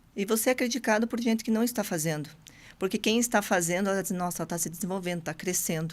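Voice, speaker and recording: A very fast pace with ordinary pitch variation. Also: woman, medium pitch for a woman, very clean recording, silent background. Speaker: entrepreneur guest. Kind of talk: podcast interview.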